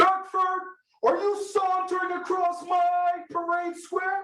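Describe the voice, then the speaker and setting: Loud and extremely high in pitch, a put-on character voice moves at a fairly slow pace in a monotone, flat intonation, with slight echo. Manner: barking, commanding.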